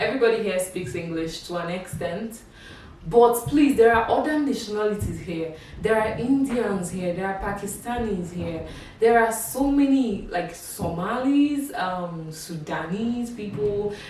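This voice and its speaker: In a Nigerian accent, a woman with a medium pitch speaks fairly slowly in an animated tone with lively intonation, amid audible room echo and noticeable background noise. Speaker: YouTuber. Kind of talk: casual vlog monologue. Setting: talking to camera.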